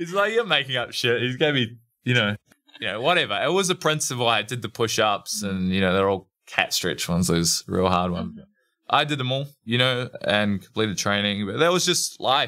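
A man with a bright, sharp tone speaks at a medium pitch and a fairly quick pace, his pitch swinging very widely. The recording is very clean, with a silent background. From New Zealand, Motueka (top of South Island). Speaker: retired judo athlete, strength coach. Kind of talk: interview conversation.

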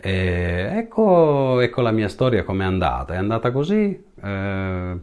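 The background stays quiet while this man talks very slowly. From northern Italy (Piedmont, then Liguria, Savona province). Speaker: musician, drummer. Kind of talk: personal storytelling monologue. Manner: halting, with many repetitions and fillers.

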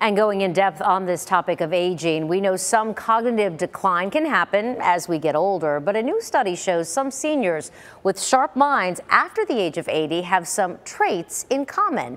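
Delivered at a moderate pace with hardly any pauses, an unremarkable speaking voice carries lively intonation. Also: woman, medium pitch for a woman. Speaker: news anchor. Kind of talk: news reading. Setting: studio. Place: studio.

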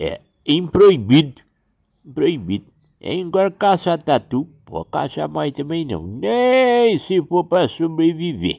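A man speaks at a very slow pace. His fairly high pitch swings very widely. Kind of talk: folk storytelling. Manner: casual, chatty.

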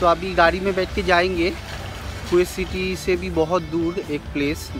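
Clear music sits in the background while a man speaks at a fairly slow pace in a dry sound with no echo. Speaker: vlogger. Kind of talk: casual vlog chat. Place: street. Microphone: phone near.

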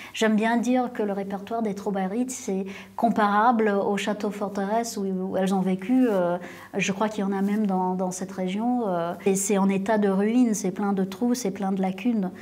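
Delivery is monotone and flat. Speed sits at a moderate level. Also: woman, medium pitch for a woman. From Canada (Ottawa); Canada. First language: English (speaking French). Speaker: singer-songwriter; interviewee. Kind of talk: interview. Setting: conservatory auditorium before a concert. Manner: halting, many hesitations. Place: classroom. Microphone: lapel.

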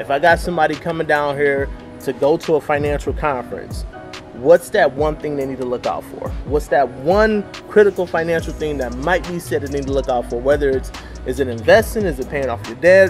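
The speech moves at a fairly quick pace while music plays clearly in the background. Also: man. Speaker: vlogger, interview host. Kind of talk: casual vlog chat. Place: street. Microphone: camera far.

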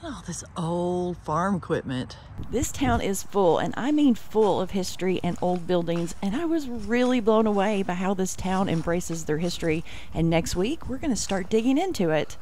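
Speaking at a moderate pace, a woman uses lively intonation. The sound is dry with no echo, and there is light background noise. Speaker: travel vlogger. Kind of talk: casual vlog chat. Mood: curious, wondering aloud. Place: open country. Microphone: phone near.

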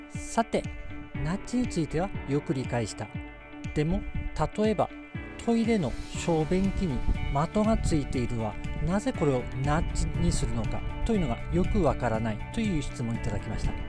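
Clear music plays in the background as a man speaks in a Tsugaru accent. He leaves long, frequent pauses. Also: moderate pace, dry sound with no echo. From Tsugaru, Aomori. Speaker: behavioral economist. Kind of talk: educational talk to camera. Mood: calm, friendly, smiling. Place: open country. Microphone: phone near.

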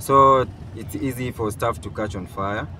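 With music playing behind him, a man speaks at a fairly slow pace and an ordinary amount of pitch variation. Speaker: YouTuber. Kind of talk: vlog narration. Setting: in a car.

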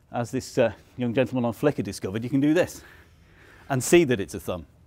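This is a man speaking. His voice shows ordinary pitch variation. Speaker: presenter. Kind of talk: conference talk. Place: meeting room.

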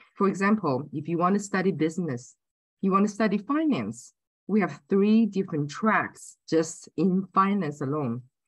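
A woman talks at a moderate pace, somewhat breathy, with lively intonation. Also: quiet background. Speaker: university admissions representative. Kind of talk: presentation to prospective students.

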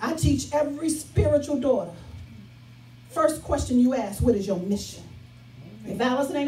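A woman with an American accent speaks in an animated tone at a fairly quick pace, her pitch high, with faint music in the background and audible room echo. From Chicago South Side; Chicago. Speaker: pastor. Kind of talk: sermon. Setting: church with live congregation. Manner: rhythmic, repetitive exhortation with congregation echo; animated, emphatic and conversational. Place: church.

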